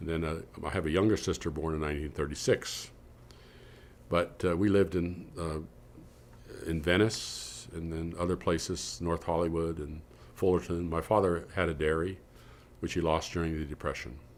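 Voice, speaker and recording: A man speaks with a Californian accent at a very deep, low pitch. His intonation stays fairly even, broken by long, frequent pauses. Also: moderate pace. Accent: Californian American. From California, San Joaquin Valley. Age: 70s. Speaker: researcher. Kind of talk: interview reminiscence. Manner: halting, many fillers and restarts.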